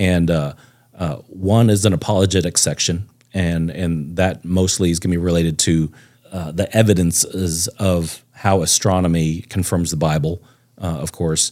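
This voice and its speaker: With an American accent, a man speaks at a moderate pace in a very deep, low pitch, his tone dark and mellow and his intonation fairly even. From Texas (Plano). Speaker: amateur astronomer and real estate agent. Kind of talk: casual chat. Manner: halting, many fillers.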